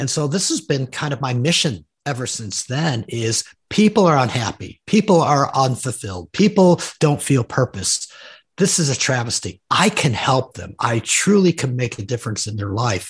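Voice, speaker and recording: A man speaks at a moderate pace with a medium pitch and a somewhat breathy voice, his pitch swinging very widely. The background is quiet. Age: 60s. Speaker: executive coach and author. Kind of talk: interview.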